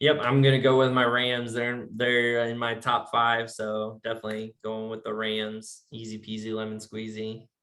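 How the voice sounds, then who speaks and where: A moderate pace in a slight Virginia accent, hardly any pauses, flat monotone intonation and big jumps in loudness. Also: man, medium pitch for a man. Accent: slight Virginia twang. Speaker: sports podcast host. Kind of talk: casual chat.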